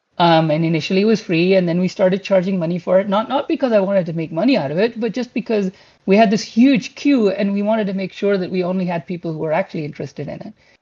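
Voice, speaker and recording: Very fast speech in a Pashto accent. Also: man, high pitch for a man, ordinary pitch variation. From Pakistan. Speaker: game graphics engineer. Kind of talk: career talk to online community. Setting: online community voice chat. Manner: hesitant, with fillers and repeated words.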